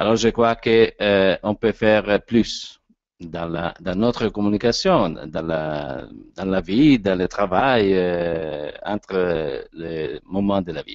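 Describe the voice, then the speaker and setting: A man with an Italian accent and a very deep, low pitch, speaking at a very slow pace with ordinary pitch variation. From Italy. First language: Italian (speaking French). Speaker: actor and voice coach speaker. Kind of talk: lecture. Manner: halting.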